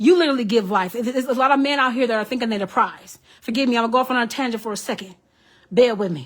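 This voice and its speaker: A woman's fairly high, animated voice at a very fast pace, with ordinary pitch variation and a very clean recording, silent background. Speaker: psychic medium, tarot reader. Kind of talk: live stream tarot reading. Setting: Facebook live stream.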